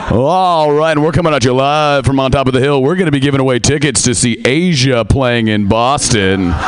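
Against noticeable background noise, a man with an American accent talks at a fairly quick pace with hardly any pauses, a medium pitch, ordinary pitch variation and very even loudness. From US Pacific Northwest, Seattle. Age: young. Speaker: comedian. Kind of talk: stand-up. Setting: stage with audience.

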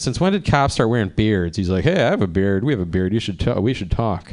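Someone with an American accent talks at a fairly quick pace over a quiet background. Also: man. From Cleveland, Ohio. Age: 40s. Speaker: stand-up comedian. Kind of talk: stand-up. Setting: stage with audience. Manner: animated.

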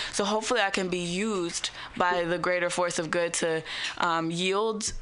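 Against noticeable background noise, a woman speaks with fairly low pitch and fairly even intonation. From San Francisco Bay Area. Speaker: rapper. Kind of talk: radio interview.

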